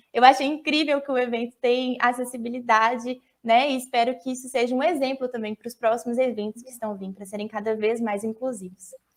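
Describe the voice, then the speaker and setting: A woman talks at a fairly quick pace with hardly any pauses. Her voice sits high in pitch. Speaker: biology student and science communicator. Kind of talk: online talk with Q&A. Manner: animated.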